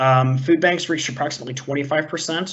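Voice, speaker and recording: A man with a fairly high pitch talks at a fairly quick pace, using ordinary pitch variation. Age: 30s. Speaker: college staff instructor. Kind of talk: online presentation. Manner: fast.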